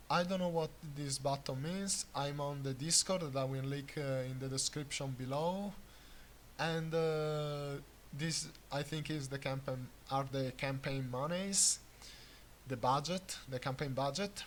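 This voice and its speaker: A man with an Italian accent speaks at a fairly high pitch. His voice is somewhat breathy and his intonation fairly even. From Italy. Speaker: gaming YouTuber. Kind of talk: unscripted game commentary. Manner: hesitant, many filler sounds.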